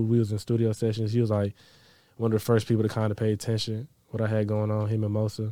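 A man with an American accent speaks very fast in a fairly low, dark, mellow voice. His intonation is monotone and flat, on a very clean recording with a silent background. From Dallas, Texas. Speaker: music producer. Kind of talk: casual interview.

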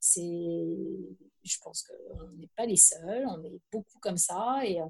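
A woman is speaking. Her pace is very slow. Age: 50s. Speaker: journalist, author and trail runner. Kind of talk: casual chat.

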